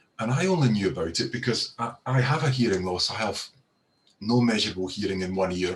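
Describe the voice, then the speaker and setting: In a Scottish accent, a man talks at a fairly quick pace. His voice is fairly low and somewhat breathy. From Scotland. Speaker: professor of audiology. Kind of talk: panel talk on video call. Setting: video call. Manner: hesitant, many repeated words.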